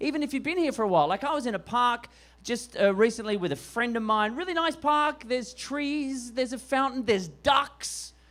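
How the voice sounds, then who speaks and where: With an Australian accent, a man speaks in an extremely high-pitched voice. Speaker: stand-up comedian. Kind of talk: stand-up. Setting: stage with audience.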